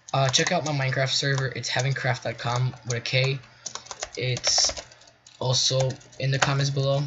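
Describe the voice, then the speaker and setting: Against noticeable background noise, a man of medium pitch talks at a moderate pace in a monotone, flat intonation with long, frequent pauses. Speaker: gaming tutorial youtuber. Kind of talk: tutorial. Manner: halting.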